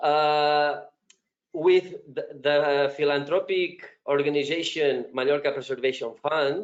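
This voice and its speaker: A man with a fairly high pitch speaks very slowly in a Spanish accent. His intonation stays fairly even. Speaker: project presenter. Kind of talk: conference presentation. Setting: web conference. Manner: halting, many fillers.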